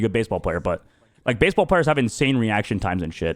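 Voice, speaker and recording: Speaking very fast, a man uses an American accent with vocal fry. His pitch swings very widely. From Arizona, US. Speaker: streamer. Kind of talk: casual chat. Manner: animated.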